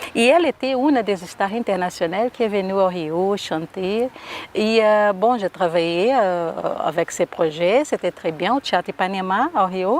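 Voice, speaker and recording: A woman with a Brazilian accent speaks at a fairly slow pace and a medium pitch, with ordinary pitch variation. Her loudness stays very even, and the sound is dry and close with no echo. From Brazil, Rio de Janeiro. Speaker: singer and performer. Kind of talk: interview.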